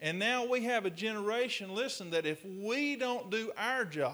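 A man's bright, sharp voice with lively intonation at a fairly slow pace. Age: 40s. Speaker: pastor. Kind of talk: sermon.

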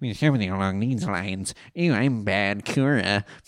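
A man puts on a character voice, pitched fairly low and kept at a moderate pace.

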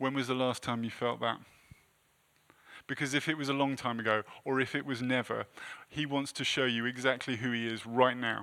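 Long, frequent pauses break up a man's fairly quick speech. His medium-pitched voice has a bright, sharp tone and a monotone, flat intonation. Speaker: preacher. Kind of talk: sermon. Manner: halting.

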